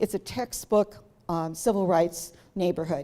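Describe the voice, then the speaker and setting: A woman with an American accent and a dark, mellow tone. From Cleveland, Ohio. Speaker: local historian. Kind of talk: public talk.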